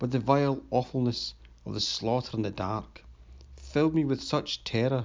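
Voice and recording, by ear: A natural voice, reading aloud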